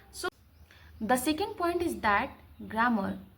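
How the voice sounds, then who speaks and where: Her pitch is high, and it swings very widely. A woman speaks with audible room echo. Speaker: English learner vlogger. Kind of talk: tutorial. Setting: home recording to camera.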